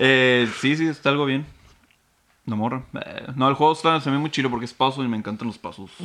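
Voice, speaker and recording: At a fairly quick pace, a man of medium pitch talks in an unremarkable speaking voice with ordinary pitch variation. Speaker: podcast co-host. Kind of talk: casual chat.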